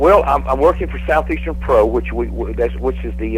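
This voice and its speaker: A man's very deep, low voice, monotone and flat, at a fairly quick pace over noticeable background noise. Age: 60s. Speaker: professional wrestler. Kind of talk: casual chat. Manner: halting.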